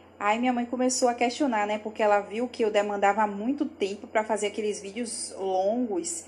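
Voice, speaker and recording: A woman speaks at a fairly high pitch with ordinary pitch variation. Her voice is somewhat breathy. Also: moderate pace, hardly any pauses. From Bahia, Brazil (Salvador). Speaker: lawyer and social media content creator. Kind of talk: interview.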